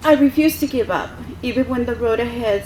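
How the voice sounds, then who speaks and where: A woman talks at a moderate pace with ordinary pitch variation against noticeable background noise. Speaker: military reservist speaking at veterans event. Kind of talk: prepared speech. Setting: podium at public event with audience.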